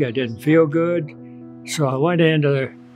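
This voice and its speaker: Over background music, a man speaks at a fairly slow pace with ordinary pitch variation. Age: 80s+. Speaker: heart patient, designer of recreational water facilities. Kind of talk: interview answer, patient testimonial. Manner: casual, halting.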